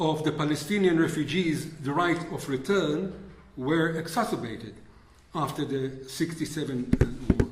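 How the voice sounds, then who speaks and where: Over audible room echo, a man with a non-native accent talks at a fairly slow pace, his fairly high pitch showing ordinary variation. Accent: foreign. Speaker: historian. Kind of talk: lecture. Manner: reading from script.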